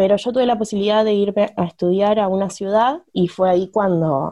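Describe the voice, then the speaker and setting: Dark, mellow tone from a woman, intonation fairly even. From Argentina, small town. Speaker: feminist activist. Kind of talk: casual chat.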